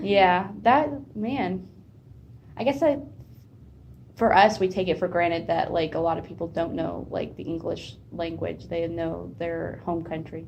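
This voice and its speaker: With an American accent, a woman speaks at a fairly slow pace in a fairly low pitch, with vocal fry, lively intonation and audible room echo. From United States. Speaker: student interviewer. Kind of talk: casual interview.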